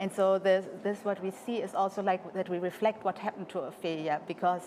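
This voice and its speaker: Her pitch medium, a woman moves through her words at a fairly quick clip. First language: French. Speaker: interpreter for the choreographer. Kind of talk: interview. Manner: halting.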